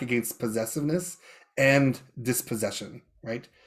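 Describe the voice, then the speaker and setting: This speaker has a Canadian prairie accent. The pace is moderate, with ordinary pitch variation. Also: man. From Canadian prairies, Saskatchewan (Métis). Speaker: professor, event emcee. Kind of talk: panel talk. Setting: video call. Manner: halting, many fillers and restarts.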